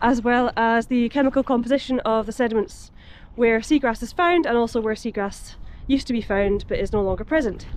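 A woman's high-pitched voice at a fairly quick pace, with ordinary pitch variation and a dry sound with no echo. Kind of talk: casual vlog chat. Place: waterside. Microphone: phone near.

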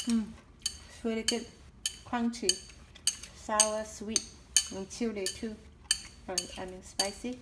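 A woman speaks at a very slow pace. Loud background noise runs beneath her voice. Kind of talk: cooking tutorial. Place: kitchen. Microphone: camera far.

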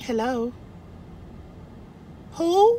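A woman in a put-on character voice, high-pitched with a dark, mellow tone, speaks very slowly with big pitch swings and audible room echo.

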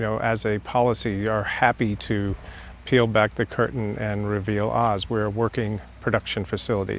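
A man speaks at a moderate pace with a fairly low pitch and a flat, monotone delivery, recorded dry with no echo over light background noise. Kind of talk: interview answer. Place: garden. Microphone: lapel.

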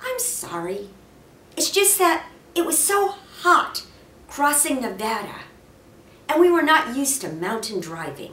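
A woman puts on a character voice with a high pitch, a bright, sharp tone and big pitch swings. She talks at a fairly slow pace with long, frequent pauses, and room echo is audible.

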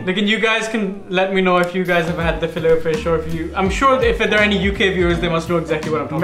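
Talking at a very fast pace with hardly any pauses and ordinary pitch variation, the speaker comes through with audible room echo and light background noise. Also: man, high pitch for a man. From lived in England for over 20 years, now in Pakistan. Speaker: vlog co-host. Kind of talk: casual chat, storytelling to co-host and viewers. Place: kitchen.

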